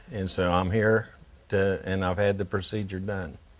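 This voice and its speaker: A man talks with an Appalachian accent at a moderate pace. His pitch is fairly low and his intonation fairly even. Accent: Appalachian American. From West Virginia, Morgantown. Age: 60s. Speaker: heart patient. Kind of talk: interview testimony. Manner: halting, many fillers.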